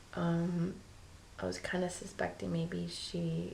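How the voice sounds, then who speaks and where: A woman talks quietly, with audible room echo and noticeable background noise. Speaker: vlogger. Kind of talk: casual vlog. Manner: hesitant, many ums; quiet, low voice.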